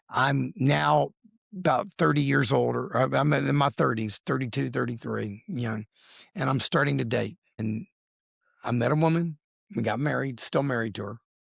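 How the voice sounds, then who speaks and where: This man's voice has vocal fry and sits at a medium pitch. His pitch swings very widely. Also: moderate pace, dry, close sound with no echo. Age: 60s. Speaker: lawyer and accountant sharing weight loss story. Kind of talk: interview testimony. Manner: animated.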